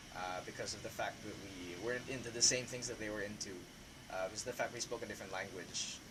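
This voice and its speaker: Over noticeable background noise, a man with a fairly low pitch talks very fast with fairly even intonation. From Philippines, Laguna province. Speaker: student discussing personal experience. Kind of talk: panel discussion. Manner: hesitant, many fillers.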